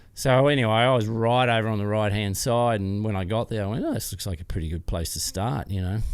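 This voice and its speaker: A fairly low-pitched male voice with an Australian accent, ordinary pitch variation and a fairly quick pace, on a very clean recording with a silent background. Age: 60s. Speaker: off-road motorcycle racer and business founder. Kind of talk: interview answer, storytelling.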